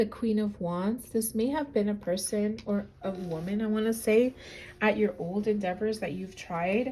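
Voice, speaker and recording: At a moderate pace, a woman with a medium pitch and ordinary pitch variation speaks in a somewhat breathy, dark, mellow tone. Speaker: tarot reader. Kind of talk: tarot reading. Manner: halting.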